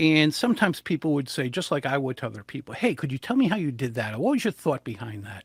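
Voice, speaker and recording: A somewhat breathy voice in a New England accent, very fast with hardly any pauses and very wide pitch swings, on a very clean, dry, close recording with a silent background and no echo. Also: man, fairly high pitch for a man. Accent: New England American. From US Northeast, southern New England. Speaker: public speaking coach. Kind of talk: interview. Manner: animated.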